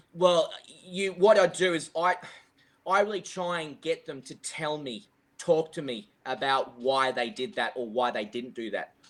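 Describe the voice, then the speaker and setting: On a very clean recording with a silent background, a man with an Australian accent speaks at a fairly high pitch with lively intonation. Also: fairly slow pace, big swings in loudness. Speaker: golf coach. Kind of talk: podcast interview. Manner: loud; halting.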